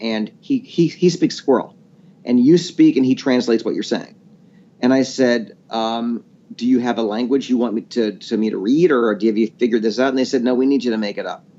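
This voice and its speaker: A man at medium pitch, with a plain, everyday voice, a fairly quick pace and ordinary pitch variation. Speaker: voice actor. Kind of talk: interview answer. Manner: casual, storytelling.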